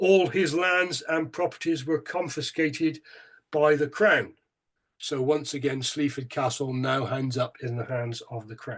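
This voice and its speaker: The speaker has a Bristolian accent and a fairly slow pace. Pitch varies in an ordinary way over a quiet background. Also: man, fairly high pitch for a man. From England, Bristol. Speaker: local museum chair, history speaker. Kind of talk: lecture. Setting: online talk. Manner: hesitant, with fillers.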